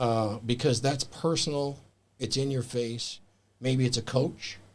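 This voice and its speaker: In a normal speaking voice, the speaker goes at a fairly slow pace with fairly even intonation. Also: man, medium pitch for a man. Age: 60s. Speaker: author and men's mentor. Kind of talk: casual chat.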